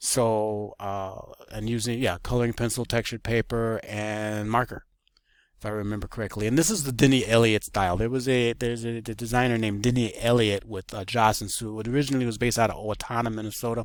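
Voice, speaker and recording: A man's medium-pitched voice at a very fast pace, flat and monotone, on a very clean recording with a silent background. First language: Spanish. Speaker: illustrator and graphic designer. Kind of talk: portfolio walkthrough. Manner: halting, many fillers.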